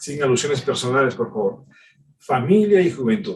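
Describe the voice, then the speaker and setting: A man's pitch swings very widely. He speaks at a moderate pace. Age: 60s. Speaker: pastor. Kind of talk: sermon.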